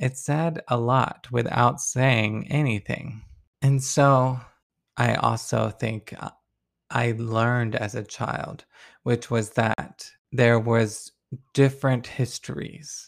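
Talking very slowly with an American accent, a man keeps a medium pitch and fairly even intonation. The recording is very clean, with a silent background. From US Deep South. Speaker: pastor and podcast host. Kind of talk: sermon-style reflection. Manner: reading aloud.

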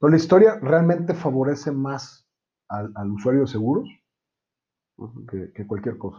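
In a Mexican accent, a man with a fairly high, somewhat breathy voice and a dark, mellow tone speaks at a moderate pace, his loudness swinging widely, his pitch swinging very widely, with long, frequent pauses. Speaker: insurance agent. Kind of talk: casual chat.

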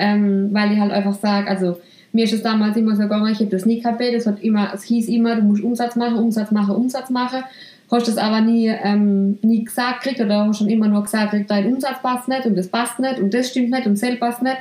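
Noticeable background noise sits behind a woman speaking at a fairly high pitch. Her intonation is monotone and flat, her loudness very even. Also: fairly quick pace. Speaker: salon owner and podcast host. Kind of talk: casual chat.

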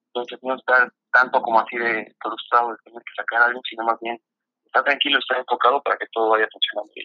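Talking at a very fast pace, a man keeps a monotone, flat intonation at medium pitch while his loudness swings widely. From Mexico, State of Mexico. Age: 30s. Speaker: freestyle football athlete. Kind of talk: casual interview.

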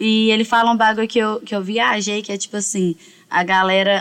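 Using an ordinary speaking voice, a woman talks at a moderate pace with fairly high pitch and fairly even intonation. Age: 20s. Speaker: rapper and songwriter. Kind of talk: casual chat.

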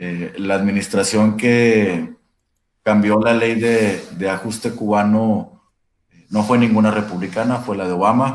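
This man has an ordinary speaking voice. He talks at a fairly low pitch and a fairly slow pace. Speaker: labor lawyer. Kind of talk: casual discussion.

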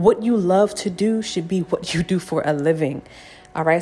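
Over music in the background, the voice sounds animated, with ordinary pitch variation. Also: woman. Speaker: spiritual podcast host, numerology and tarot reader. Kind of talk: casual solo podcast talk with tarot reading. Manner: animated, many filler words like okay and right.

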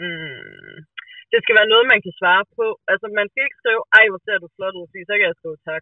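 Delivered at a moderate pace with ordinary pitch variation, the speech shows big swings in loudness. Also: woman, medium pitch for a woman. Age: 20s. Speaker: podcast guest. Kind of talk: casual chat. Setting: phone call.

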